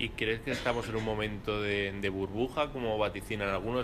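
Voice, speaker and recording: Over noticeable background noise, a man talks very fast in a fairly low pitch with fairly even intonation. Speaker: event host and interviewer at a law firm; event host, interviewer. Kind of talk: live event moderation and interview. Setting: room with live audience, no microphone. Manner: halting with repetitions. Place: hall. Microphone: speaking without microphone; camera far.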